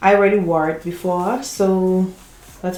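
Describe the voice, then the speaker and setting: Over noticeable background noise, a woman speaks at a medium pitch and moderate pace with fairly even intonation. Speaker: beauty YouTuber. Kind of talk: tutorial.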